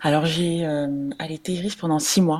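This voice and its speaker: A woman is speaking. Her pace is moderate. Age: 30s. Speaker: mother sharing breastfeeding experience. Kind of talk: interview testimony.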